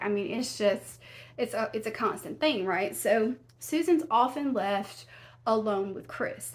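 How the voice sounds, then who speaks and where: A woman speaks in a Southern US accent. Her pitch is fairly high. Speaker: true crime YouTuber. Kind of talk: casual storytelling narration. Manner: conversational, with many fillers and restarts.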